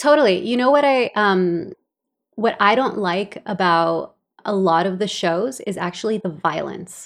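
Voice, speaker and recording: In a Californian accent, a woman with a medium pitch talks at a fairly slow pace with ordinary pitch variation, on a very clean recording with a silent background. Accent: Californian American English. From El Salvador, raised in Los Angeles. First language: Spanish. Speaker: podcast co-host, stay-at-home mom and writer. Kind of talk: casual chat.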